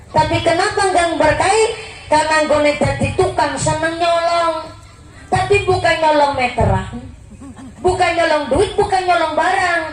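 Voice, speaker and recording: With music in the background, a woman with a Banyumas accent speaks fairly slowly in an extremely high voice with fairly even intonation. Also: very even loudness. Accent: Banyumasan Javanese (ngapak). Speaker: Islamic preacher. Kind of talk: religious sermon to a live audience. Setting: PA system. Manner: humorous.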